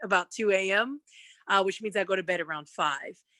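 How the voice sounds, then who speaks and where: A woman speaks in a plain, everyday voice. Her pitch sits in the medium range. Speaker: TV news anchor. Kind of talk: career panel talk. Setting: video call from home living room.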